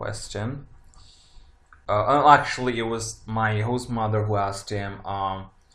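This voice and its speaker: Amid audible room echo, a man with a fairly low pitch talks fairly slowly with fairly even intonation. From Italy. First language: Italian. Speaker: tarot reader. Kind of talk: casual monologue. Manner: halting, many fillers.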